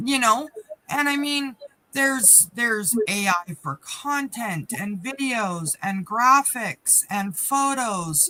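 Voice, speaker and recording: A woman's fairly high, bright and sharp voice at a very slow pace, with very wide pitch swings. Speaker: business coach, live stream co-host. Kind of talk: casual chat. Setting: live stream. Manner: off the cuff.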